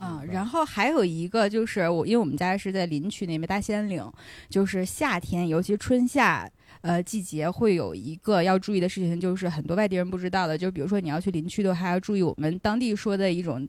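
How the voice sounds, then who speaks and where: A woman's medium-pitched voice at a very fast pace, with ordinary pitch variation and a very clean recording over a silent background. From Inner Mongolia, Hulunbuir. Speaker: podcast guest. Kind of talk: casual chat.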